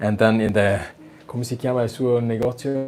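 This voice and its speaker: A man's medium-pitched voice with a strong Austrian accent and fairly even intonation. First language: German. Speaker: violin maker and video host. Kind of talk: casual workshop visit interview. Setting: indoors in a violin workshop. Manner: halting, with fillers.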